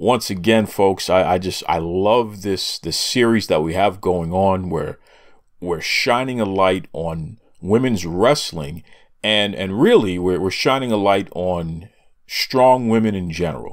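On a very clean recording with a silent background, a man with an unremarkable speaking voice talks at a fairly slow pace, his fairly low pitch showing ordinary variation. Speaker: wrestling podcast host. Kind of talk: casual commentary.

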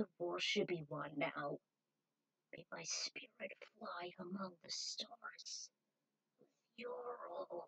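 Using a put-on character voice, a woman speaks at a very slow pace with long, frequent pauses. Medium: read story. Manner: pleading, tender.

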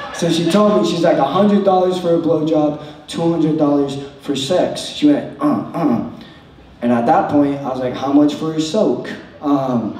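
Moderately paced speech from a man, light background noise, audible room echo. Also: ordinary pitch variation. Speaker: stand-up comedian. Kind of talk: stand-up comedy routine. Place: stage.

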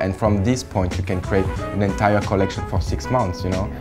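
A man with a French accent at a very fast pace and fairly low pitch, over clear music in the background. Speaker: fashion creative director. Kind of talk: interview answer. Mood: enthusiastic, relaxed. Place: office.

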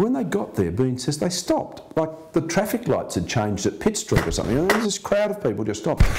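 A man talks at a fairly quick pace with hardly any pauses. Noticeable background noise runs under his voice. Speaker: interviewee. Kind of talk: interview answer. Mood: earnest storytelling. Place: home room.

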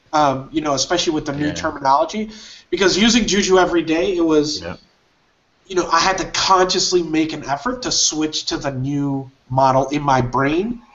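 A man with a plain, everyday voice talks at a fairly quick pace, his pitch fairly high and his pitch variation ordinary. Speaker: livestream host. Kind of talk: live tech discussion. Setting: video call. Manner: upbeat.

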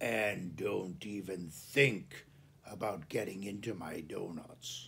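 In a put-on character voice, a man growls at a fairly low pitch, moving at a fairly slow pace with ordinary pitch variation. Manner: warning, threatening.

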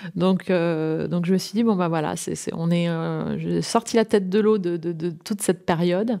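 A woman with a fairly low pitch and a dark, mellow tone speaks at a fairly slow pace with fairly even intonation and hardly any pauses. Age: 40s. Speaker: entrepreneur, interior designer. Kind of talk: interview. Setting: at her home. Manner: halting, many fillers.

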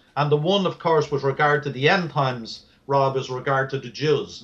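This man talks at a fairly quick clip in a Dublin accent. His fairly high voice keeps a fairly even intonation. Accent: Irish (Dublin). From Ireland, Dublin. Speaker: author on Bible prophecy. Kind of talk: interview.

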